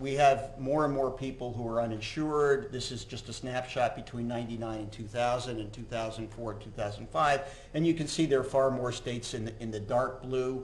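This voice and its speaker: A man speaks at a moderate pace with hardly any pauses. Audible room echo surrounds his voice. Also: fairly even intonation. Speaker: physician giving a lecture. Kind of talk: lecture. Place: hall.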